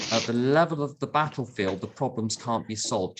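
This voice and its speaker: A man's medium-pitched voice, with ordinary pitch variation, comes through clear background noise. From London. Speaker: AA speaker. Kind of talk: talk to recovery meeting. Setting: video call.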